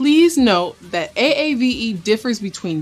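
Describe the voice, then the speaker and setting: Music plays in the background as the speaker goes at a fairly slow pace with very wide swings in pitch. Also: woman. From US, Detroit area, Michigan. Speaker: educational video presenter. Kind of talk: explainer narration.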